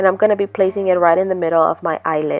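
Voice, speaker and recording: Music plays in the background as a woman talks. Her pitch sits in the middle range, with fairly even intonation. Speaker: beauty vlogger. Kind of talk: makeup tutorial narration.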